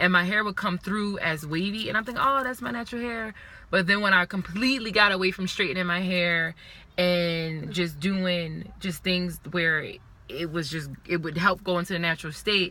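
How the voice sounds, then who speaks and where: Noticeable background noise sits behind a woman whose fairly low voice has an animated tone and ordinary pitch variation at a moderate pace. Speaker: video blogger. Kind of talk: casual chat.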